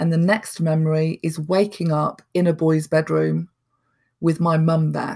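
A woman's very deep, low voice, dark and mellow in tone, fairly slow and monotone with flat intonation. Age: 40s. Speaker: person in recovery. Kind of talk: interview testimony.

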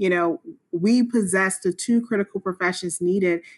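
A woman with an American accent speaks in an ordinary speaking voice at medium pitch and a moderate pace, with fairly even intonation and a dry, close sound with no echo. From US South, South Carolina. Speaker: nonprofit co-founder, police officer. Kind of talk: interview.

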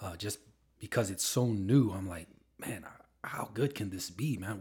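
Somewhat breathy, a man's voice moves with lively intonation. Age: 40s. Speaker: family member, entrepreneur. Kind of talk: casual chat. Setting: home studio.

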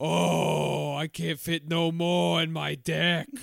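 Putting on a raspy character voice with a Long Island accent, a man speaks very slowly in a fairly high pitch. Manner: excited.

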